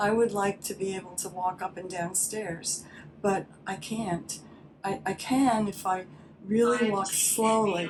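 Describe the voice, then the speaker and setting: Noticeable background noise sits beneath talking that proceeds at a fairly slow pace. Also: woman, medium pitch for a woman, fairly even intonation. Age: 70s. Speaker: patient giving testimonial. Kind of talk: testimony. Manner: halting.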